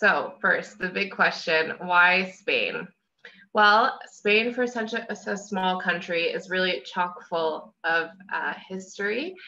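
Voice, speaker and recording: A woman speaks at a very slow pace with an American accent. Her tone is bright and sharp. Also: ordinary pitch variation. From US Northeast. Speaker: travel specialist. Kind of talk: travel presentation. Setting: video call. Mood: friendly, enthusiastic. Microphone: video call.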